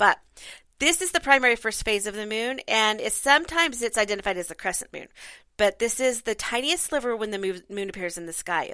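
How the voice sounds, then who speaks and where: Raspy and fairly quick, this put-on character voice moves with lively intonation. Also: woman, fairly high pitch for a woman. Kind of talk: reading aloud from a book.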